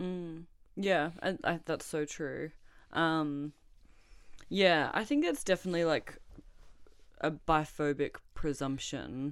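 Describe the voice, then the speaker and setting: A woman speaks with an Australian accent at a fairly low pitch. Her pace is very slow, her intonation fairly even, and her pauses long and frequent. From Australia, Melbourne. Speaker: artist and poet. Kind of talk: interview.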